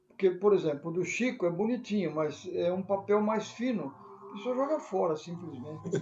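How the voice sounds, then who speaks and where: Against noticeable background noise, a man speaks at a moderate pace in a high pitch with lively intonation. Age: 80s+. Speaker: city council candidate. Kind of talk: casual chat. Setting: online live stream.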